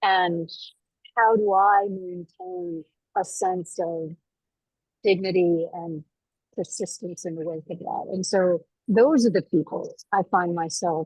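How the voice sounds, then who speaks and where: In a dry, close sound with no echo, a woman speaks at a very slow pace with long, frequent pauses, big swings in loudness and fairly even intonation. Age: 60s. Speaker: faith leader panelist. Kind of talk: panel discussion. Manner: halting, repeats words.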